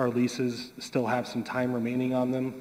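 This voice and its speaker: The speaker is a man. He talks fairly quickly. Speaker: land development consultant. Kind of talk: public meeting testimony. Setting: public meeting room. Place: hall. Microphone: podium.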